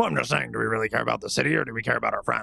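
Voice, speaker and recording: Using a raspy, put-on character voice, a man speaks at a medium pitch. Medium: actual play. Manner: brash, fast-talking.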